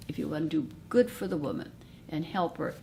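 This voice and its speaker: The woman's tone is dark and mellow, with vocal fry. She keeps a moderate pace. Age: 80s. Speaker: retired nurse midwife. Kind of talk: recorded interview, personal reflection.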